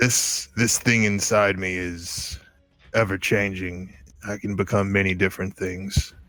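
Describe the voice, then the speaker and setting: Over faint background music, a man does a put-on character voice, fairly low in pitch and at a fairly slow pace. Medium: actual play. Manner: gruff, curt.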